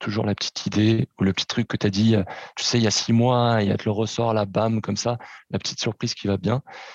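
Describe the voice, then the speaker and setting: Speaking at a fairly quick pace, a man with a plain, everyday voice keeps a fairly low pitch and fairly even intonation in a dry, close sound with no echo. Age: 30s. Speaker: podcast guest. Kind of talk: casual chat.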